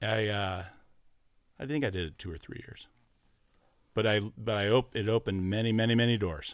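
A man with an American accent and fairly low pitch talks at a fairly quick pace with ordinary pitch variation and long, frequent pauses, in a very clean recording over a silent background. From US West Coast, Orange County, California. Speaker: former concert security worker and college radio DJ. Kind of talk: casual chat. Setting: studio.

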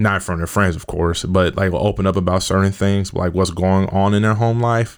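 On a very clean recording with a silent background, the speaker talks with an American accent. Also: man. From US Midwest, Kansas City. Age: 20s. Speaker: youth worker and mentor. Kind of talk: podcast interview. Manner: casual, many fillers.

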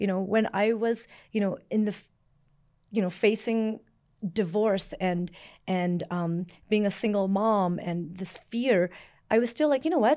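A woman's dark, mellow voice with a Canadian accent, ordinary pitch variation, a fairly slow pace and long, frequent pauses, in a very clean recording with a silent background. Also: medium pitch for a woman. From Canada, born in Vietnam. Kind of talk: interview. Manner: casual, with many fillers.

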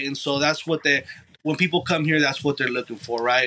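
With an American accent, a man with an unremarkable speaking voice talks in a fairly high pitch and fairly even intonation. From Los Angeles, military family moving around. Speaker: barber. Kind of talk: casual interview.

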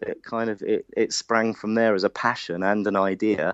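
With a slight London accent, a man talks fairly quickly at medium pitch. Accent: London (Hackney), slight. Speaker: careers organisation founder. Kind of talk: casual interview.

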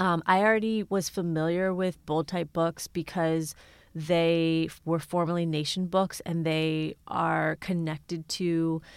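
A woman talks in an unremarkable speaking voice, fairly low in pitch, with fairly even intonation. The recording is very clean, with a silent background. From Ohio, Cincinnati area. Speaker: journalist and author. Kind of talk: interview.

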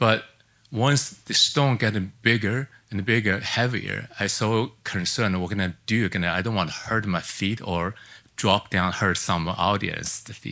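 Speaking in a Chinese accent, a man uses a bright, sharp tone at a fairly slow pace with ordinary pitch variation, on a very clean recording with a silent background. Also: fairly low pitch for a man. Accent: Mandarin Chinese. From China. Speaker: artist. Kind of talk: lecture. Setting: stage with audience. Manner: halting.

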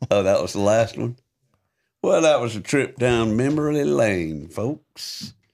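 A man speaks at a fairly slow pace with a medium pitch. His voice moves in very wide pitch swings. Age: 70s. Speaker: podcast co-host and former touring musician. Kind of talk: casual chat; reading aloud.

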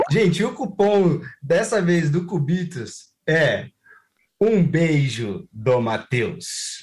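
A man with a Brazilian accent, high-pitched for a man, with very wide pitch swings, a very slow pace and very even loudness, on a very clean recording against a silent background. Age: 30s. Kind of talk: casual chat.

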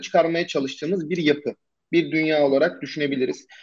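Here a man speaks at a very fast pace. His pitch sits fairly high. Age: 20s. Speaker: SEO agency founder. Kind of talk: casual interview.

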